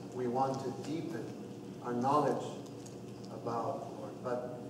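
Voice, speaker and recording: A man speaking at a very slow pace amid noticeable background noise and audible room echo. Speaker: priest leading RCIA class. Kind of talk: opening prayer. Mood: calm, devout. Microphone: camera far.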